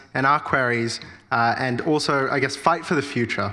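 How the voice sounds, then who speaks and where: Audible room echo hangs around a man speaking with an Australian accent. He keeps a moderate pace. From Australia (Sydney), born in India. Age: 20s. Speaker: political candidate. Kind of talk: campaign speech at candidates forum. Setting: church hall forum with audience.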